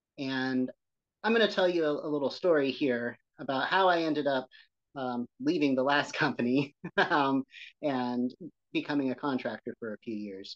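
Over a quiet background, a man with a fairly high pitch speaks with ordinary pitch variation. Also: moderate pace, dry, close sound with no echo. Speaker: building preservation specialist. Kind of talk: casual interview conversation. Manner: gentle, soothing rhythm.

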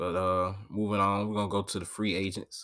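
The recording is very clean, with a silent background. A normal speaking voice moves at a fairly quick pace. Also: man. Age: 20s. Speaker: sports podcast host. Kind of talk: solo sports commentary podcast. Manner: casual, filler-heavy.

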